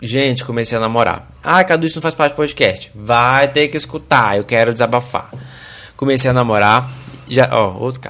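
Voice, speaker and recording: A man with a Brazilian accent speaks in a bright, sharp tone. His pitch sits at a medium level and varies in an ordinary way. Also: moderate pace. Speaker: podcast host. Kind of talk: casual monologue; explanatory talk. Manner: animated.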